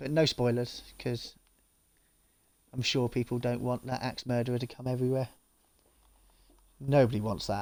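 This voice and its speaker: A man mumbles at a moderate pace and medium pitch. His intonation is monotone and flat, with long, frequent pauses. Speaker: gaming streamer. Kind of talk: live gameplay stream. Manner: mumbling; casual, chatty.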